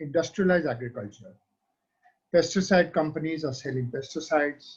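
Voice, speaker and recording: A man with a fairly high, somewhat breathy voice speaks at a moderate pace with ordinary pitch variation. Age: 70s. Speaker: organic farming panelist. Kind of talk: webinar panel discussion.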